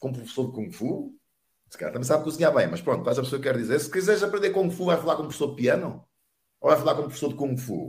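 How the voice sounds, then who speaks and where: This man speaks at a fairly high pitch, his voice somewhat breathy and swinging very widely in pitch. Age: 50s. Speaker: network marketing entrepreneur. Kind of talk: interview, motivational talk.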